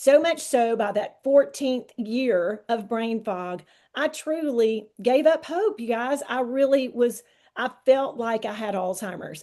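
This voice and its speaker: In a Southern US accent, this voice has a dark, mellow tone and lively intonation. It moves at a very slow pace against a quiet background. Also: woman, fairly high pitch for a woman. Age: 60s. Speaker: wellness product promoter. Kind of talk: testimony.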